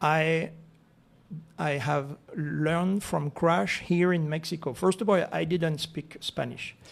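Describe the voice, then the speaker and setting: With a French accent, a man speaks at a very slow pace. His pitch is fairly high, with ordinary variation. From France, Alps. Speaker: real estate association president. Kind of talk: radio interview. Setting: radio studio. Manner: halting.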